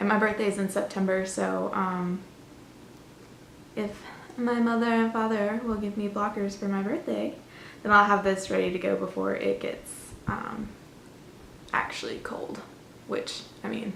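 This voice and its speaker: A woman with an American accent speaks at a moderate pace, leaving long, frequent pauses. Noticeable background noise and audible room echo are present. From Florida, US. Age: 20s. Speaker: knitting podcaster, university student. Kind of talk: casual vlog chat. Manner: chatty, with frequent fillers.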